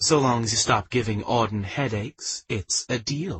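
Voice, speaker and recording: A man puts on a growling, breathy character voice. He speaks at a moderate pace and medium pitch. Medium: read story. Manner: warm, teasing.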